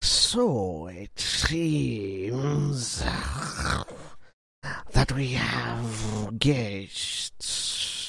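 A man puts on a character voice, keeping his pitch at a medium level.

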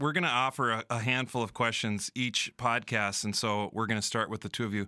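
Dry and close with no echo, this very clean recording with a silent background captures a man of medium pitch talking at a fairly quick pace with a bright, sharp tone and ordinary pitch variation. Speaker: high school principal. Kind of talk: casual podcast chat. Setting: church.

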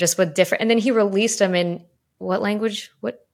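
In a very clean recording with a silent background, a woman speaks with an American accent and a normal speaking voice. Her pitch sits in the medium range with ordinary variation. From Chicago. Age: 30s. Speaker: podcast host, former journalist. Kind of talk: casual interview chat; scripted intro.

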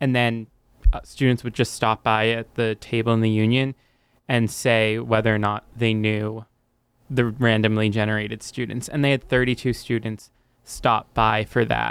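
A man with a medium pitch speaks at a moderate pace in a monotone, flat intonation. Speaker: student journalist. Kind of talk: interview. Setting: studio.

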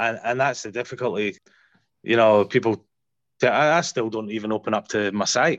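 A man in a Scottish accent talks at a moderate pace and medium pitch with ordinary pitch variation and long, frequent pauses, in a dry, close sound with no echo and a quiet background. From Scotland. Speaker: paramedic. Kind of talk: casual interview chat.

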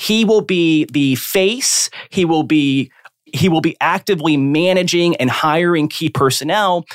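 Using a normal speaking voice, a man talks at a fairly high pitch with ordinary pitch variation, the sound dry and close with no echo. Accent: American. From South Florida. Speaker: corporate and real estate lawyer. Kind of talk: podcast interview.

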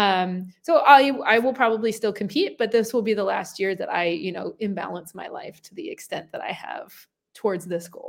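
A woman with a normal speaking voice talks at a fairly high pitch and a moderate pace. Her intonation is lively, with big swings in loudness. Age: 30s. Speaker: professional CrossFit athlete and coach. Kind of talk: casual interview chat.

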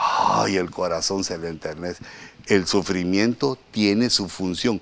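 A man speaks at a very slow pace. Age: middle-aged. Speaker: pastor. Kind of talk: sermon.

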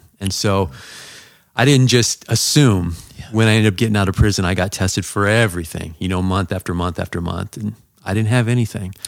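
A man's unremarkable speaking voice in an American accent, fairly low, fairly quick, with ordinary pitch variation. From Southern California. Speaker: pastor. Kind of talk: testimony.

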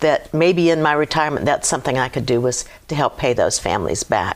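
Her voice has a very deep, low pitch for a woman, fairly even intonation and an American accent. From Virginia, US (Hampton). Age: 70s. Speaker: Gold Star widow. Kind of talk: casual interview. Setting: studio.

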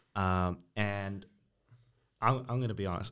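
Over a quiet background, a man talks at a fairly low pitch with ordinary pitch variation. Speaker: guest panelist. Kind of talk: casual banter. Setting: studio.

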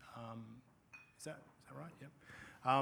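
With an Australian accent, a man talks at a medium pitch with ordinary pitch variation. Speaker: panel moderator. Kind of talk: panel discussion. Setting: stage with audience.

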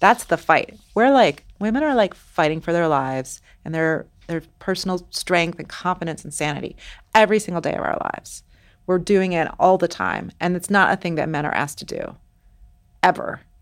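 a normal speaking voice, its pitch varying in an ordinary way. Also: woman, fairly low pitch for a woman, moderate pace, very clean recording, silent background. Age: 40s. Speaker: novelist. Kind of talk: interview.

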